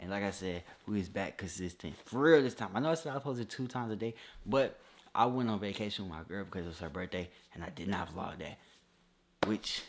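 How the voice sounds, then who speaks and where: This man talks at a very fast pace. His fairly low voice has ordinary pitch variation. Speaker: YouTuber and clothing brand owner. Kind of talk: casual vlog talk to camera.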